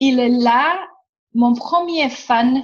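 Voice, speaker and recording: Speaking in a Romanian accent, a woman uses a high pitch with ordinary pitch variation. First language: Romanian (speaking French). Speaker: workshop facilitator. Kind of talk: casual chat. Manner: animated.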